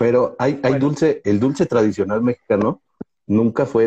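The voice is somewhat breathy, with a dark, mellow tone and lively intonation. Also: man, dry, close sound with no echo. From Mexico. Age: 40s. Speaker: comedian podcast co-host. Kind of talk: casual chat. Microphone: bad connection, freezing.

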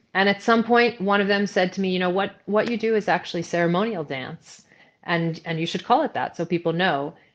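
A woman with an American accent has an unremarkable speaking voice at a medium pitch. She talks at a fairly quick pace with ordinary pitch variation over a quiet background. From New York. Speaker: movement facilitator and ceremonialist. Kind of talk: interview.

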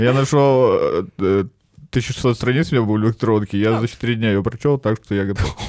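A man speaks in a normal speaking voice at a moderate pace and medium pitch, with very even loudness, ordinary pitch variation and hardly any pauses. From northern Russia (Arkhangelsk and Murmansk regions). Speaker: stand-up comedian. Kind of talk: casual chat.

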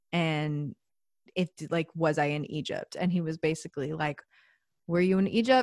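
This woman has a plain, everyday voice with a fairly low pitch. She talks at a moderate pace, the sound dry and close with no echo. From Austin, Texas. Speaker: music teacher and yoga student. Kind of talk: casual chat. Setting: video call.

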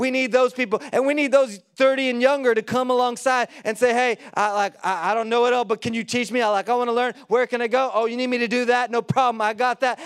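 An extremely high-pitched man speaks at a fairly quick pace in an animated tone. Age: 40s. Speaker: pastor. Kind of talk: sermon. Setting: church.

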